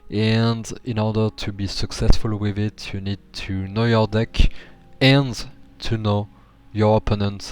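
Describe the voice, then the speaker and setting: Over background music, a man with a fairly low pitch talks at a very slow pace in a monotone, flat intonation, leaving long, frequent pauses. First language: not English. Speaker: gaming YouTuber. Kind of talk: tutorial. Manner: halting, many fillers; awkward delivery.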